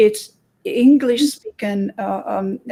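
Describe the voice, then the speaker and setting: A woman with a Romanian accent speaks in a somewhat breathy, dark and mellow voice, captured in a very clean recording with a silent background. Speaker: hypnotherapist. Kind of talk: interview. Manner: halting.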